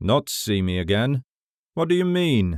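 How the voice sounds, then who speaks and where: A put-on character voice sounds strained, with very wide pitch swings. The pace is moderate. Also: man. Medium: read story. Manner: low, restrained.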